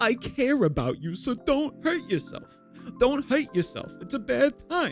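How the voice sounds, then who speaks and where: Clear music plays as a man performs a put-on character voice at an extremely high pitch. His pace is moderate. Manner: timid, quivering.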